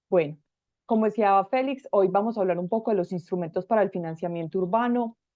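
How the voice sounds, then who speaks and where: A woman speaks at a fairly quick pace. Her pitch sits in the medium range and varies in an ordinary way. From Colombia. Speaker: urban planning expert, speaker. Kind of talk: lecture. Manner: fast.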